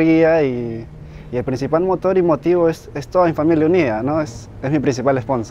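A man's fairly high voice at a moderate pace, with ordinary pitch variation, a dry sound with no echo and light background noise. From northern Peru, Huanchaco; Peru. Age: 20s. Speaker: professional surfer. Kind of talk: interview testimony. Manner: halting, with fillers and repetitions. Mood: calm, warm. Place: beach.

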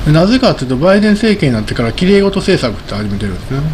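Light background noise sits beneath a male speaker. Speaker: market commentator. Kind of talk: solo commentary video. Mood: relaxed, often smiling. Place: home room. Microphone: studio mic.

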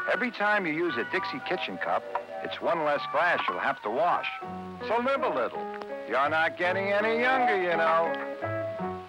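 Moderate pace and very even loudness over music in the background. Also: man. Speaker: commercial narrator. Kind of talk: TV commercial read. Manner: fatherly, advising.

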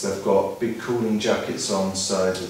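A man at a fairly low pitch and moderate pace, in strong room echo with light background noise. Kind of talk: explanatory tour talk. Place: factory.

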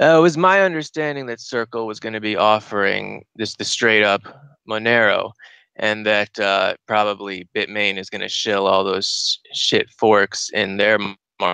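A man speaks at a fairly slow pace in a bright, sharp tone, fairly low in pitch. His pitch varies in an ordinary way, and the sound is dry and close, with no echo. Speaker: caller. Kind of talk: phone-in discussion. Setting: Skype call.

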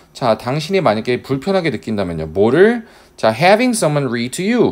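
A man speaks with very wide pitch swings. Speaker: English teacher. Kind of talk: lecture.

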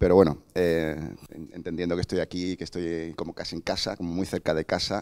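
In a quiet setting, a man talks fairly quickly in a very deep, low voice with flat, monotone intonation. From Cádiz, Andalusia, Spain; Andalusia, Spain. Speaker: museum digital department head; speaker. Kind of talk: conference lecture. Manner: hesitant, many fillers and self-corrections. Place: hall. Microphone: handheld.

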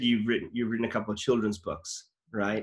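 Against a quiet background, a man talks fairly quickly at a medium pitch. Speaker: actor and comedy channel host; actor, comedy channel host. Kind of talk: casual interview chat. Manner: animated. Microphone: webcam.

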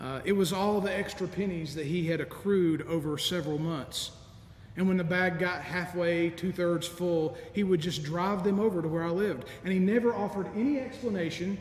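High pitch from a man at a moderate pace, ordinary pitch variation, audible room echo and light background noise. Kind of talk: sermon. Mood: warm, nostalgic, gently humorous. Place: church.

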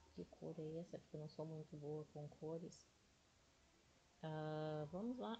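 Its pitch moves in an ordinary way. The tone is dark and mellow, somewhat breathy too. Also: woman. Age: 40s. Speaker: day trading YouTuber. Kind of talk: casual tutorial livestream.

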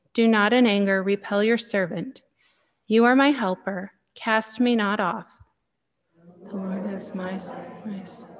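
Long, frequent pauses break up a woman's fairly slow speech. Her intonation is fairly even. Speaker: lay reader at Mass. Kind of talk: reading scripture aloud. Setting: chapel. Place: church. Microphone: podium.

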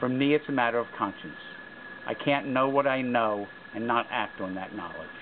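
The speech moves at a fairly quick pace with ordinary pitch variation over noticeable background noise. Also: man. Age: 60s. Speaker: peace activist. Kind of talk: personal statement to camera. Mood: earnest, serious. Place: open country. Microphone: camera far.

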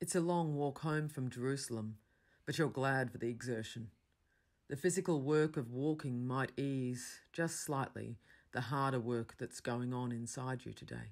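Heard in a very clean recording with a silent background, the speaker has an Australian accent and a moderate pace.

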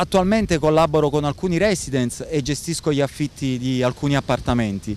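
A man speaks at a fairly high pitch and a fairly quick pace. His pitch variation is ordinary, and the sound is dry with no echo. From Naples, southern Italy; southern Italy. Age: 40s. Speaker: expat rental manager; interviewee. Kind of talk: interview. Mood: calm, measured. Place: beach. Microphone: handheld.

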